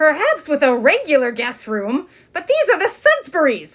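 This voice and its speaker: A woman's put-on character voice, high in pitch. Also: moderate pace. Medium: read story. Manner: fussy, bustling.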